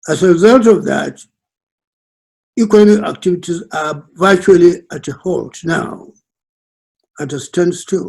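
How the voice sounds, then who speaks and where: In a northern Nigerian accent, a man talks at a fairly slow pace with long, frequent pauses. His voice is high-pitched with ordinary pitch variation and big swings in loudness. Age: 90s. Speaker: elder statesman. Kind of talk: presentation. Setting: video call. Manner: halting.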